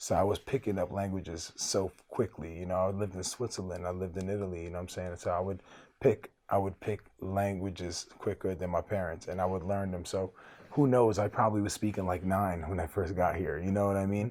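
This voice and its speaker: Over a silent background in a very clean recording, a man with a New York accent speaks fairly quickly in a very deep, low voice with fairly even intonation. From Brooklyn, New York (from age 10; earlier refugee childhood). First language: Arabic. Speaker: rapper. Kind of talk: interview. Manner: casual, conversational.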